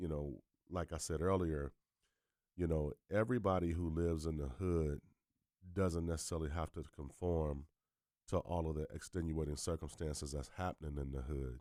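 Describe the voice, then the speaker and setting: A man's very deep, low voice with a dark, mellow tone and fairly even intonation, dry and close with no echo, on a very clean recording with a silent background. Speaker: podcast host. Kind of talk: podcast interview question. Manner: casual, conversational.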